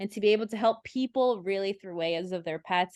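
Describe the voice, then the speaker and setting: A woman talks in a plain, everyday voice at a medium pitch. Her pitch varies in an ordinary way against a quiet background. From Brazil (São Paulo), raised in Massachusetts from age 6. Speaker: veterinarian. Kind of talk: interview.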